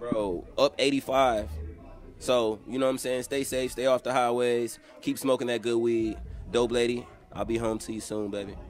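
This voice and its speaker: With music in the background, a man talks in fairly even intonation. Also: moderate pace. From Georgia, US South (Columbus). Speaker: rapper. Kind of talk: casual interview chat. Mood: relaxed, joking, candid. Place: home room. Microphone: handheld.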